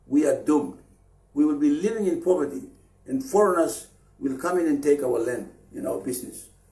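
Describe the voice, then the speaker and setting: A man is speaking with very wide pitch swings. The room echo is audible. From Papua New Guinea, Chimbu highlands. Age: 60s. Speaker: anti-corruption activist leader. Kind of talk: public political appeal. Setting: Facebook live stream. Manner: halting, with fillers and repeats.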